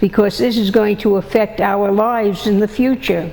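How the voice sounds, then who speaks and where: The speaker has an American accent and a very slow pace. Noticeable background noise runs underneath. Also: woman. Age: 90s. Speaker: peace activist. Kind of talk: interview testimony. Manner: halting.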